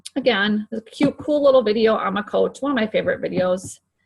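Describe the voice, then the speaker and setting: A woman talks at a fairly quick pace with lively intonation. Her voice is somewhat breathy. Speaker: fitness coach team leader. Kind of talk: screen-share tutorial. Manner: fast; casual, filler-heavy.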